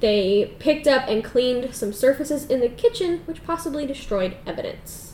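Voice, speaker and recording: A woman speaks in a high pitch with lively intonation and hardly any pauses. Noticeable background noise runs underneath. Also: moderate pace. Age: 20s. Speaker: podcast co-host. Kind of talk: casual chat.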